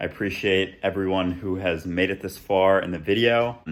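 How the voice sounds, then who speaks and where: A man with an American accent talks at a fairly slow pace. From Minnesota, Minneapolis. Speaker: lifestyle and fitness vlogger. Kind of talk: vlog narration. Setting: outdoors, backyard; at home, apartment.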